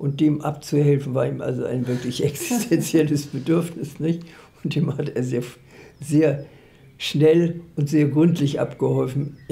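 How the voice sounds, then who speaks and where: This woman's voice is very deep and low, delivered at a fairly slow pace with fairly even intonation. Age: 80s+. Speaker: literary scholar and editor. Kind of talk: interview answer. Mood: calm, reflective, smiling. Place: home room.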